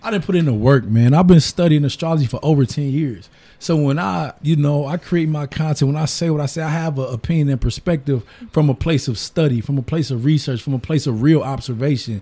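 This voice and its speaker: Recorded very cleanly against a silent background, a man with an American accent talks at a very fast pace in a fairly high, somewhat breathy voice with a dark, mellow tone and ordinary pitch variation. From US Midwest, Detroit east side. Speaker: entrepreneur and barber. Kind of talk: casual chat.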